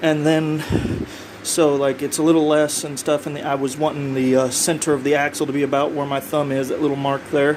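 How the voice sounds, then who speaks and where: Noticeable background noise sits behind a man who speaks at a fairly high pitch with fairly even intonation. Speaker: hobbyist builder. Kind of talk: workshop vlog. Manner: fast; casual, hesitant.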